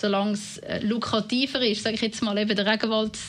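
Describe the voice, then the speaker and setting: Background noise is noticeable in this clip. A woman talks over it at a fairly quick pace. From Winterthur, canton of Zurich, Switzerland (from age nine). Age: 30s. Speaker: politician. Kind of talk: interview.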